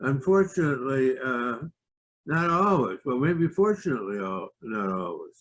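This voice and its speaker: A man speaks at a medium pitch with very wide pitch swings. His pace is fairly slow. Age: 70s. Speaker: physicist giving a presentation. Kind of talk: presentation. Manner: halting, many filler words.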